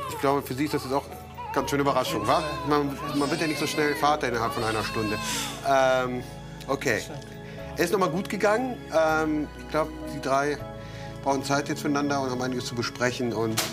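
Clear music plays in the background as a man talks at a fairly quick pace with ordinary pitch variation. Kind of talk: interview to camera and bedside talk. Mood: friendly, relieved. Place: hall. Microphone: lapel.

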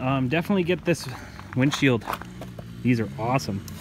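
Someone talks at a fairly quick clip, the sound dry with no echo and noticeable noise behind it. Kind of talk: casual vlog walkaround commentary. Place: garden. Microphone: phone near.

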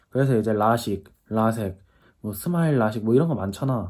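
Using ordinary pitch variation, a man speaks at a fairly quick pace in a dark, mellow tone. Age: 20s. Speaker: YouTuber. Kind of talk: casual vlog monologue. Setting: at home in self-quarantine. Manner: casual, chatty.

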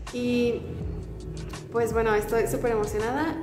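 Clear music plays behind a woman who speaks at a moderate pace with a high pitch. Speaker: K-pop YouTuber. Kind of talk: casual vlog chat. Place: home room. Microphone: phone near.

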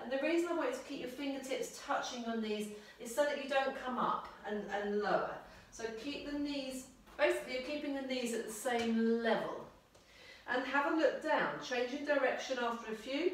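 A woman's high voice at a moderate pace, with ordinary pitch variation and strong room echo. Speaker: exercise instructor. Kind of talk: exercise class instruction. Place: home room. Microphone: camera far.

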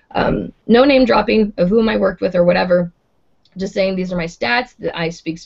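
A woman with vocal fry speaks at a fairly quick pace and with ordinary pitch variation, the background quiet. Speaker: voice actor. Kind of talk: casual chat. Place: home room. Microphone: video call.

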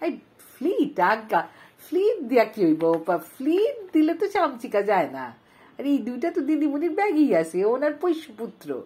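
In a theatrical tone, a woman speaks at a high pitch with very wide pitch swings and a dark, mellow tone. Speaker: audiobook narrator. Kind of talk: literary audiobook reading, first-person comic storytelling. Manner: animated, playful, wry, with dramatic emphasis and voice changes for dialogue; expressive, theatrical, mock-indignant.

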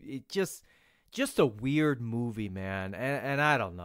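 With a normal speaking voice and lively intonation, a man talks at a moderate pace in a very clean recording with a silent background and a dry, close sound with no echo. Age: 40s. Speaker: judo podcast host. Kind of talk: casual monologue.

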